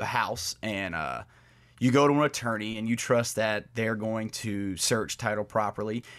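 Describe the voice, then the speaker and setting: A man's medium-pitched voice at a moderate pace. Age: 30s. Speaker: lawyer and podcast co-host. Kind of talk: casual chat about legal topics. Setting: remote, in a bedroom at home.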